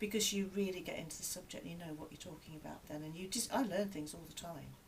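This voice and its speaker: A woman's fairly low-pitched voice with ordinary pitch variation and audible room echo. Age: 60s. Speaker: piano and maths teacher. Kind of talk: interview.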